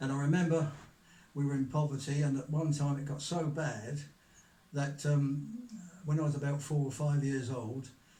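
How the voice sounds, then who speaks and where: A man with a southern English accent talks at a moderate pace in a fairly high pitch for a man, his intonation fairly even, with audible room echo around him. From Kent, southern England. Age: 90s. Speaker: author. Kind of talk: interview, life story. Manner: halting, with fillers.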